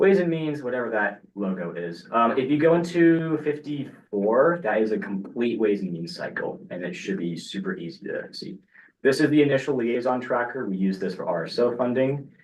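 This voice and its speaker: At a moderate pace, a man speaks with a medium pitch. His pitch swings are very wide. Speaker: student government committee chair. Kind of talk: committee meeting. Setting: meeting room with online participants. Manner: casual.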